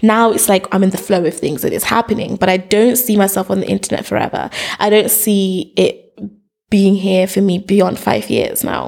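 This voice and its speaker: A woman with a medium pitch talks with vocal fry and fairly even intonation. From Zimbabwe, then UK from about age seven. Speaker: educational YouTuber, activist and author. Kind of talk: casual interview conversation.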